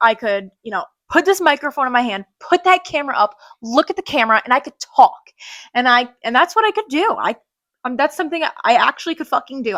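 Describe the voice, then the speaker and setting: Fast and animated, a woman talks at a very high-energy, very fast pace in a high pitch, with lively intonation and a raised, projected voice. Her tone is bright and sharp, and the sound is dry and close, with no echo. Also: very clean recording, silent background. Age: 20s. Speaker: podcast host. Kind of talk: casual chat. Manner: loud.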